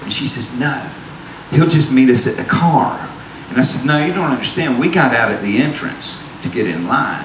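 With an American Southern US accent, a man speaks at a moderate pace while noticeable background noise carries on. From US South. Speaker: storyteller. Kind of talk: stage storytelling. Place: stage. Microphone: handheld.

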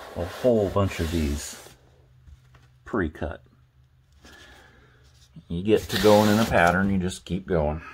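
Over noticeable background noise, a man with a very deep, low voice speaks at a fairly slow pace. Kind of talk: casual vlog chat. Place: bathroom. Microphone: phone near.

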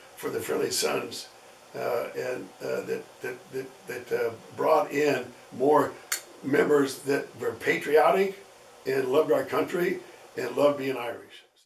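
In a room with audible echo and light background noise, a man talks at a fairly slow pace with long, frequent pauses. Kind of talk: interview answer. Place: home room.

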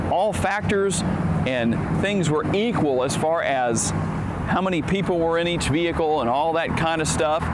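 The speaker talks at a moderate pace with ordinary pitch variation over loud background noise. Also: man. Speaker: car reviewer. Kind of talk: product review walkaround. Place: street.

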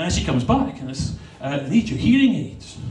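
Audible room echo and light background noise surround a man. He talks fairly quickly, his pitch swinging very widely. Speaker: stand-up comedian. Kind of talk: stand-up comedy routine. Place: stage.

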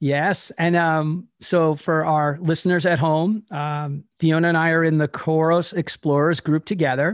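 A man with an American accent, fairly high in pitch, in a monotone, flat intonation at a fairly slow pace, dry sound with no echo against a quiet background. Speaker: podcast host. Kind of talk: podcast interview talk. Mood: upbeat, friendly. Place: home room. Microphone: studio mic.

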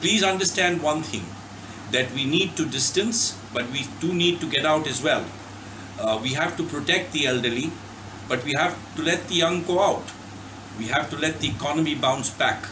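The speaker's pitch varies in an ordinary way. Background noise is noticeable. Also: man, moderate pace. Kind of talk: public health message. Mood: earnest, reassuring. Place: home room. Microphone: phone near.

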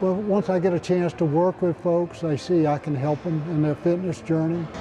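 A man's high-pitched voice, fairly even intonation, and moderate pace over light background noise. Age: 80s+. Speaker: personal trainer. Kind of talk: interview answer. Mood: upbeat, proud. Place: gym. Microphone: lapel.

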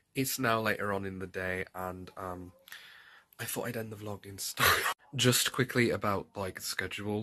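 With a fairly low pitch and a fairly bright tone, a man talks in fairly even intonation.

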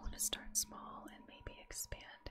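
Whispering is how this woman delivers her words. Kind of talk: casual talk to camera, gameplay commentary. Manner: soft-spoken, whispered, relaxing.

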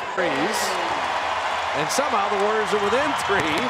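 The speech moves at a moderate pace, with a dry sound that has no echo and loud background noise behind it. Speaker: play-by-play announcer. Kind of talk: live basketball commentary. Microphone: headset.

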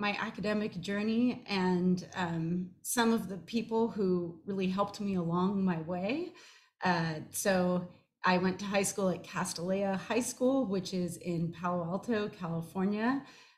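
At a fairly slow pace, a woman speaks in a somewhat breathy voice with ordinary pitch variation. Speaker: professor giving a short talk. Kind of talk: personal talk with slides. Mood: warm, smiling, fond. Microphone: webcam.

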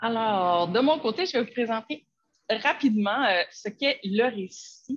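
Somewhat breathy, a woman talks at a fairly slow pace and medium pitch. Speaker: educational technology advisor. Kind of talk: webinar presentation.

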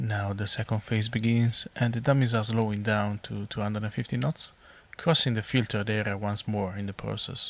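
Speaking at a moderate pace, a man with a non-native accent uses a fairly low pitch. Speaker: flight simulator content creator. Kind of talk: tutorial narration. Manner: flat, inexpressive.

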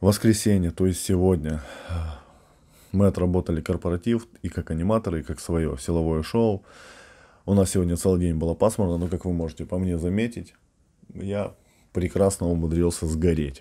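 Against a quiet background, a dark, mellow voice moves at a moderate pace with fairly even intonation and long, frequent pauses. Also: man, very deep, low pitch for a man. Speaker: strength athlete and fitness coach; strongman trainer vlogger. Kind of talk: casual vlog monologue. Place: home room. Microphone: webcam.

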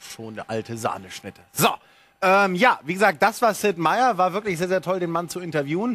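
A man with a high pitch and a bright, sharp tone sounds animated, with lively intonation and big swings in loudness. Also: moderate pace. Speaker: TV gaming show host. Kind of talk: live TV show presentation. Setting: TV studio. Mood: playful, joking. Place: studio. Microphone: lapel.

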